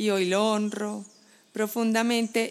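This is an unremarkable speaking voice. The pace is fairly slow. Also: woman. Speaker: brand strategist. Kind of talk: interview. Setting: home balcony.

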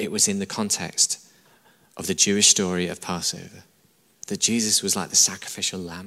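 A man speaks with a northern English accent. His intonation is fairly even. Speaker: church pastor preaching a sermon. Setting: church service, live audience. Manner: emphatic, repetitive, conversational preaching.

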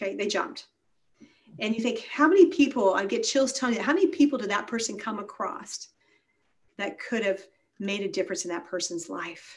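A woman speaks fairly quickly in a fairly high, somewhat breathy voice, with very wide pitch swings and long, frequent pauses. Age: 50s. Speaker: wellness doctor and speaker. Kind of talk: casual interview.

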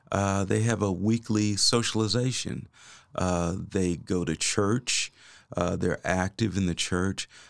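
A man with an American accent speaks at a very slow pace, his fairly low pitch showing ordinary variation. His loudness stays very even, and the recording is very clean with a silent background. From Kansas City. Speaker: family doctor. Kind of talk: casual interview. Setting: studio. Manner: halting, many fillers.

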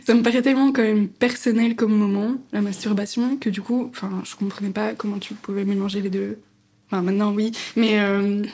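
A woman with a dark, mellow, somewhat breathy tone speaks at a moderate pace with fairly even intonation. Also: medium pitch for a woman. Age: 20s. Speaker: podcast co-host. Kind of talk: casual chat.

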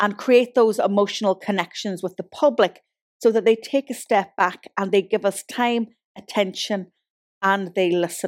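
Speaking with an Ulster accent, a woman uses medium pitch and ordinary pitch variation. The very clean recording has a silent background and a dry, close sound with no echo. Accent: Irish (Ulster). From Donegal, Ireland. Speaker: podcast host and marketing consultant. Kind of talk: podcast monologue and interview.

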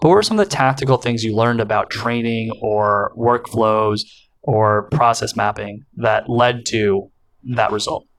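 Using an ordinary speaking voice with an American accent, a man talks at a moderate pace and a medium pitch. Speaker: podcast host. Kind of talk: interview, casual chat.

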